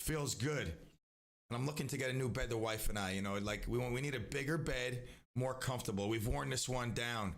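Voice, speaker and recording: This man speaks at medium pitch and a fairly quick pace with an animated tone, ordinary pitch variation and very even loudness, with audible room echo. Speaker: radio show host. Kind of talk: live radio talk show. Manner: animated, rambling with many restarts.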